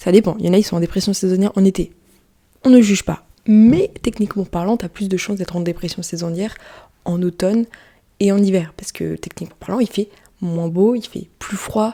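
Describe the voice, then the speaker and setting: This woman's voice is dark and mellow, at medium pitch. She talks at a fairly quick pace with fairly even intonation. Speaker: podcaster and YouTuber. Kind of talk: casual solo podcast. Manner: quieter than usual.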